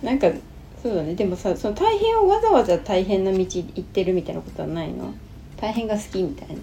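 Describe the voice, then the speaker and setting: Her loudness swinging widely, a woman talks at a fairly quick pace over noticeable background noise. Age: 40s. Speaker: podcast co-host, host's wife. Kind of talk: casual chat.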